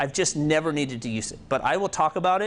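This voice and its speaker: The background is quiet. A man with a fairly high pitch speaks with lively intonation. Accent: Kansas. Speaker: programming instructor. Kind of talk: tutorial. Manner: casual, with fillers.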